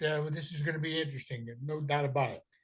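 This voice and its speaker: Recorded against a quiet background, a man with an American accent speaks at a fairly high pitch. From Maryland, DC area. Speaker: podcast host. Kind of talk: interview. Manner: casual, hesitant with many fillers.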